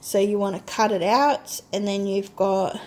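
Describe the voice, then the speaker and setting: Speaking at a fairly slow pace, a woman with a plain, everyday voice has a fairly high pitch. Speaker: crafting haul vlogger. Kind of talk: casual product demo.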